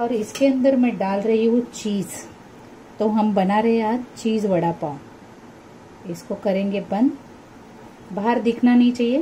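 A woman speaks at a very slow pace with ordinary pitch variation. Light background noise is present. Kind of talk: cooking tutorial. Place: kitchen. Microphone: phone near.

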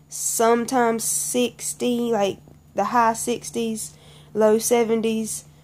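With a Southern US accent, a woman speaks at a very slow pace in a fairly high pitch. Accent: Southern American. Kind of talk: casual talk to camera.

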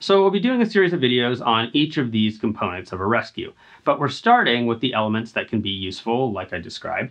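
The background is quiet. A man does the talking. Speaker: climbing instructor. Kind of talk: tutorial. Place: gym.

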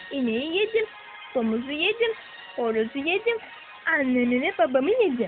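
Over music in the background, a woman talks at a fairly slow pace. Her pitch swings very widely. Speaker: storyteller. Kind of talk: children's fairy tale narration.

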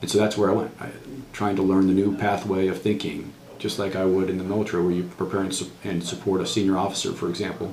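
A man with an American accent talks at a very fast pace in a very deep, low pitch with monotone, flat intonation. Audible room echo and light background noise are present. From New England, US (Worcester, Massachusetts); Massachusetts. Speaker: retired military officer, veteran. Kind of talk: oral history interview. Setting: university veterans center. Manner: halting, many fillers. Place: office.

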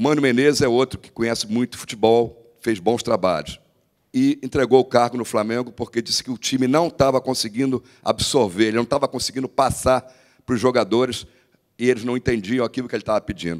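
Against a quiet background, the talking goes at a fairly quick pace with ordinary pitch variation. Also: man. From Brazil. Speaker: sports reporter. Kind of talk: heated argument, interviewing. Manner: persistent, interrupting, defensive. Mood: argumentative, defensive. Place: meeting room. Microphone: handheld.

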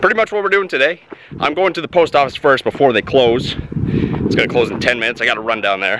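With lively intonation and a very fast pace, a man talks over noticeable background noise in a dry sound with no echo. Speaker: vlogger. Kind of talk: casual vlog. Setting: outdoors. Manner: fast talker; animated. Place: farm. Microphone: phone near.

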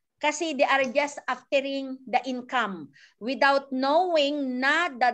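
A woman with a bright, sharp tone at a very slow pace against a quiet background. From Philippines. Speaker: network marketing coach. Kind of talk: tutorial; online training talk. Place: home room. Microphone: video call.

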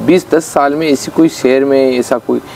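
Light background noise sits behind a man speaking at a fairly slow pace. His pitch variation is ordinary. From Rajasthan, Chittorgarh district; Rajasthan, India. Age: 40s. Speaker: politician; local politician. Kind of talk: interview. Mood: aggrieved, earnest. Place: garden.

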